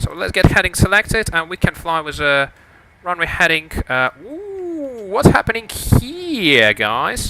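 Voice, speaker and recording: A man's fairly slow speech with big swings in loudness over noticeable background noise. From Lithuania. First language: Lithuanian. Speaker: flight sim streamer. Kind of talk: live stream commentary. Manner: hesitant, many fillers.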